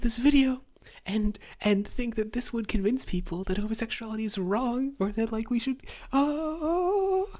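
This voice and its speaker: A woman talks quietly at a fairly slow pace. Her pitch is high. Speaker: political commentary streamer. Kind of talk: reaction commentary. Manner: quiet, hushed.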